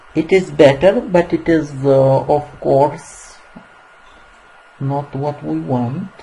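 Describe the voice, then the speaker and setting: Very slow speech with a non-native accent and long, frequent pauses, noticeable background noise throughout. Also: woman, very deep, low pitch for a woman, ordinary pitch variation. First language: not English. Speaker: software tutorial maker. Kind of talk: tutorial. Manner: halting, many fillers.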